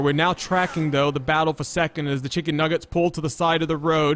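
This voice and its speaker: The intonation stays fairly even at a fairly quick pace. Background noise is noticeable. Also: man. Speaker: sim racing broadcaster, commentator and host. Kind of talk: live broadcast commentary with sponsor tagline and banter.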